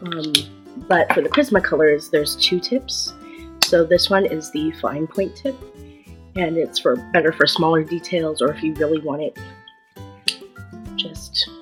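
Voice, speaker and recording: With music in the background, a woman speaks using long, frequent pauses. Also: fairly slow pace. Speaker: artist. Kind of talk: casual talk to camera. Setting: built-in computer microphone.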